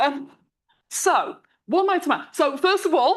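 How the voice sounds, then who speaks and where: A woman's voice with an animated tone. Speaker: mathematics lecturer. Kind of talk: conference talk. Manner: animated, conversational; halting, with repeated words.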